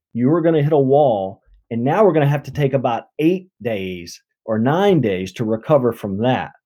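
With a slight Southern US accent, a man speaks in a dark, mellow tone at a fairly high pitch, his voice making very wide pitch swings. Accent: slight Southern US drawl. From Mississippi, US South. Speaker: endurance coach, former military pilot. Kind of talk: casual interview conversation.

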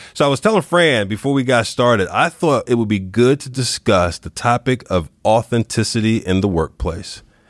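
In an ordinary speaking voice, a man with a medium pitch and lively intonation talks at a moderate pace with hardly any pauses, dry and close with no echo, in a very clean recording with a silent background. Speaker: podcast host. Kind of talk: interview conversation.

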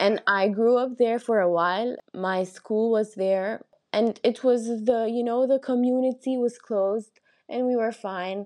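Over a quiet background, a woman speaks with an Arabic accent at a fairly high pitch. Her pace is fairly slow and her intonation fairly even. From Egypt, raised partly in London and Qatar. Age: 20s. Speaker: construction engineer, cancer support platform founder. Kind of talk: interview testimony.

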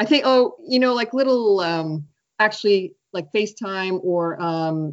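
A woman talks at a fairly slow pace in a normal speaking voice with an American accent. Her intonation is lively. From Maine, US (Biddeford). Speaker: writer and writing teacher. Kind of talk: casual interview.

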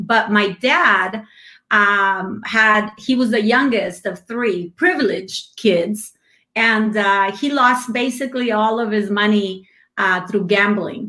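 At a very slow pace, a woman in a Spanish accent speaks with a fairly high pitch, a bright, sharp tone and ordinary pitch variation. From Mexico. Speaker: business owner. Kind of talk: casual interview chat. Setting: video call, live stream.

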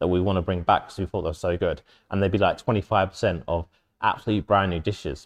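At a very fast pace, a man with a very deep, low pitch speaks with fairly even intonation, in a dry, close sound with no echo over a quiet background. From southern England (Kent, Maidstone). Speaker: chef and restaurant owner. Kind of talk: casual interview chat. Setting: in the restaurant. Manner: halting, with repetitions.

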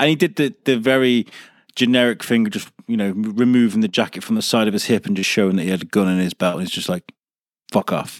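Recorded very cleanly with a silent background and a dry, close sound with no echo, a man speaks at a very fast pace with ordinary pitch variation. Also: medium pitch for a man. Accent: English. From North Wales, Wrexham. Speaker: podcast network owner. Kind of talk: casual chat.

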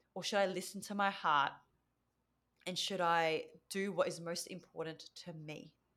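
A woman with an Australian accent speaks with a bright, sharp tone and fairly low pitch, her intonation fairly even and her pauses long and frequent. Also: moderate pace. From Australia (Victoria), Vietnamese parents. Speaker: mentor and speaker, former physiotherapist. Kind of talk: podcast interview. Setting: remote call.

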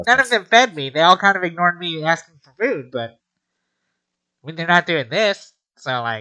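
In a put-on character voice at a middle pitch, the speaker goes at a moderate pace with long, frequent pauses. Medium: actual play.

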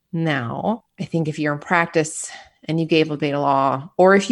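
A woman's very deep, low-pitched voice with vocal fry, a calm tone, ordinary pitch variation and a fairly quick pace, on a very clean recording with a silent background. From US Midwest, Michigan. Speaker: nurse anesthetist. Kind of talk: interview. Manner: calm, mellow; easygoing.

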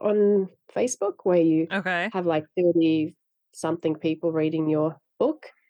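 A woman with a Finnish accent speaks slowly at a fairly low pitch, her tone dark and mellow. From Finland. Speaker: novelist. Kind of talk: interview.

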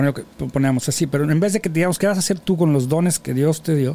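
This man's fairly high-pitched voice has a dark, mellow tone and ordinary pitch variation. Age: 50s. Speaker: podcast host. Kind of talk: casual chat. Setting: studio.

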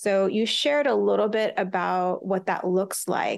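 An ordinary speaking voice from a woman, medium in pitch and fairly slow, over a quiet background. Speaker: podcast host and entrepreneur. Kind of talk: interview conversation.

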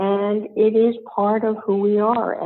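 Amid noticeable background noise, the voice moves at a fairly slow pace. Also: woman. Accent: American. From US. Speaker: blogger and senior style advocate. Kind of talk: interview.

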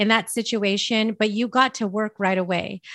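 A woman with an American accent speaks in a normal speaking voice at a fairly high pitch with ordinary pitch variation. The sound is dry and close with no echo, over a quiet background. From US West Coast, San Francisco Bay Area. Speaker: podcast host and mindset coach. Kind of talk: casual interview chat. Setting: remote call.

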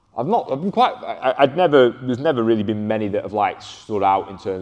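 In a Lancashire accent, a man speaks at a very fast pace. His intonation is lively. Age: 20s. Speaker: strength and conditioning coach. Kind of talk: casual chat.

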